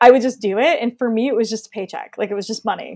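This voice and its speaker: Very fast speech from a woman with fairly high pitch and ordinary pitch variation, dry and close with no echo. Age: 30s. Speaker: color intuitive. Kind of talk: casual chat.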